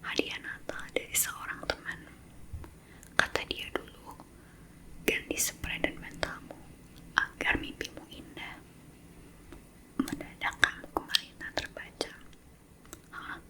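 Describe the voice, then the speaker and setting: Whispering at a very slow pace, the speaker leaves long, frequent pauses amid noticeable background noise. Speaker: ASMR creator. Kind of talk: whispered book reading. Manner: whispered.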